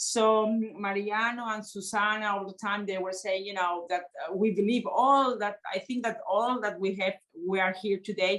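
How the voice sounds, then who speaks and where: A Spanish accent comes through at a moderate pace. The intonation stays fairly even. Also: woman. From Spain. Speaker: member of European Parliament. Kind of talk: panel discussion. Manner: halting, many fillers.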